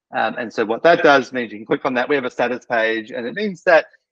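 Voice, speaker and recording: A man with an Australian accent talks at a very fast pace in a dry, close sound with no echo. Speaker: practice management software specialist. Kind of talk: casual product update chat. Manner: many fillers and hesitations.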